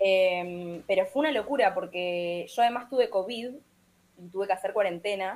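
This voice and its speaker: A woman with a Montevideo accent speaks at a moderate pace, her pitch varying in an ordinary way. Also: medium pitch for a woman. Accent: Uruguayan Spanish (Montevideo). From Uruguay, Montevideo. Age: 20s. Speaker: singer-songwriter. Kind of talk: interview. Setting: remote call.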